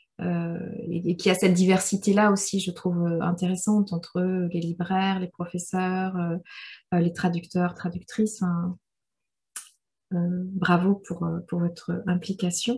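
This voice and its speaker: A woman speaks in a fairly low, dark and mellow voice that is somewhat breathy. Her intonation stays monotone and flat. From Rwanda. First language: Kinyarwanda (speaking French). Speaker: novelist. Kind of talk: literary discussion Q&A. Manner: halting, many repetitions.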